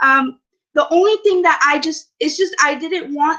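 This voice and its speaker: A woman's raised, projected voice has a bright, sharp tone. She talks at a fairly slow pace with ordinary pitch variation. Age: 20s. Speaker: network marketing member giving testimony. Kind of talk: testimony. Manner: halting, many fillers.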